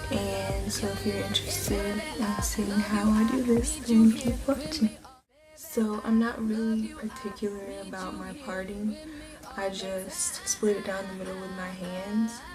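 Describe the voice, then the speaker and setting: A soft-spoken woman whispers at a fairly slow pace, her loudness swinging widely, with music in the background. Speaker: hair tutorial creator. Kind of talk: casual tutorial talk to camera. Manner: soft, near whisper.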